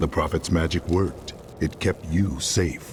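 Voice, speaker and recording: A man puts on a character voice with a very deep, low pitch. Background noise is clearly heard. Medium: video game. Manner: terse, serious.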